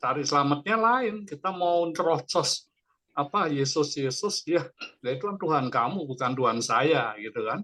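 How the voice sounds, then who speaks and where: A man's fairly high voice, bright and sharp in tone, with ordinary pitch variation at a moderate pace. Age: 60s. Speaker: participant in an online church fellowship. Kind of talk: casual discussion sharing in a Bible study.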